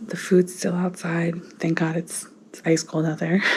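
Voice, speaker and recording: A woman whispering at a moderate pace with an American accent, with noticeable background noise. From northern US. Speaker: family vlogger. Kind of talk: casual vlog talk. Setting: at home.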